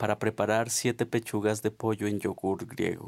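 A man's fairly low voice in monotone, flat intonation, on a very clean recording with a silent background. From Colombia, Nariño. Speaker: poet. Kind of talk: poetry reading.

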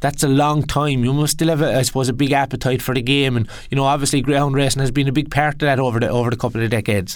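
A man with an Irish accent at a medium pitch, very fast pace and fairly even intonation with hardly any pauses, in a very clean recording with a silent background. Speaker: podcast host. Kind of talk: casual chat.

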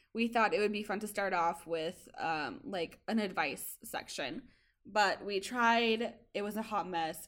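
On a very clean recording with a silent background, a woman with a plain, everyday voice talks at a fairly slow pace, medium in pitch with ordinary pitch variation. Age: 20s. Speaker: podcast host. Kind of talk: casual chat.

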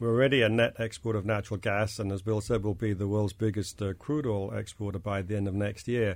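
Speaking very fast with hardly any pauses, a man with a British accent keeps a fairly low pitch and fairly even intonation. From England, London. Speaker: investment fund manager. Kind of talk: panel discussion. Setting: studio.

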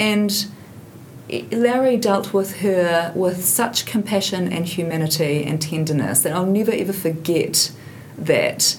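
A woman with a New Zealand accent, medium pitch and ordinary pitch variation at a fairly slow pace, with audible room echo and noticeable background noise. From New Zealand, Hamilton. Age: 50s. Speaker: investigative journalist. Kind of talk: casual chat.

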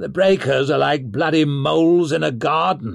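A put-on character voice growls at a moderate pace. The pitch varies in an ordinary way. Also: man. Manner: growling.

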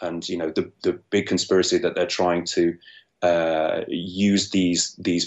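In a London accent, a man speaks at a very slow pace. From London, England. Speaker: screenwriter. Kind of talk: interview. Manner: halting, many repeated words.

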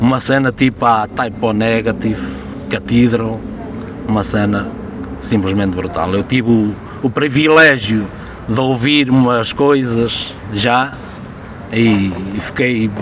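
Noticeable background noise sits behind a man talking at a medium pitch with ordinary pitch variation. He speaks at a fairly slow pace, with long, frequent pauses. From Portugal, rural Viseu district. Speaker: metal musician. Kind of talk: casual chat.

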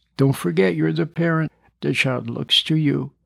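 A man speaks with vocal fry and ordinary pitch variation.

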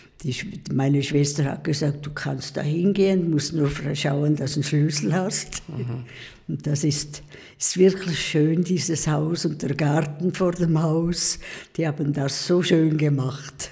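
The speech comes at a fairly slow pace with fairly even intonation and audible room echo. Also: woman, very deep, low pitch for a woman. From eastern Switzerland (Pfäfers, St. Gallen). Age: 80s+. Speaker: nun. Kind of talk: casual interview. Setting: convent.

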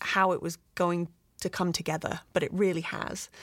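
On a very clean recording with a silent background, a woman speaks with a British accent at a fairly low pitch. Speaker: visual effects producer. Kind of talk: casual interview.

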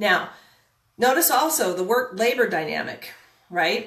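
A woman's voice with audible room echo. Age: 50s. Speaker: real estate coach. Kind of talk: live-streamed talk. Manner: hesitant, filler-heavy.

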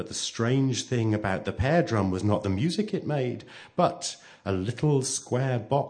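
An unforced reading voice with lively intonation rises and falls as it goes.

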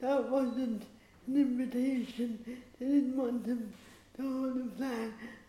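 Audible room echo surrounds a woman speaking at a high pitch and a very slow pace. Her tone is dark and mellow, her intonation monotone and flat. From Ireland. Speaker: playwright and activist. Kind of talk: panel discussion.

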